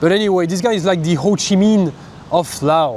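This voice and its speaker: The speaker is a man with a high pitch. Noticeable background noise runs underneath. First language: not English. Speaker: travel vlogger. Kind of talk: travel vlog narration. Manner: casual, halting.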